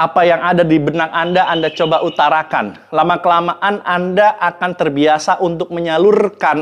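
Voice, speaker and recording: This man's voice is high-pitched and shrill. His intonation stays fairly even. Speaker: public speaking coach. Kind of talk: educational talk to camera.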